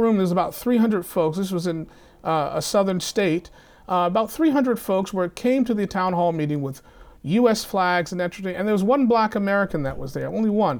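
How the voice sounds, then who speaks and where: Speaking at a fairly quick pace, a man with a high voice uses ordinary pitch variation on a very clean recording with a silent background. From US South. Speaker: university chaplain. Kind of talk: academic discussion.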